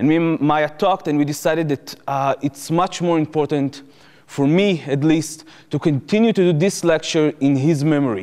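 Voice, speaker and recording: A man's fairly high-pitched voice with an Israeli accent, ordinary pitch variation, very even loudness and a moderate pace. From Israel, Jerusalem. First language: Hebrew. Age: 20s. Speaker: former soldier turned activist speaker. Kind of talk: lecture.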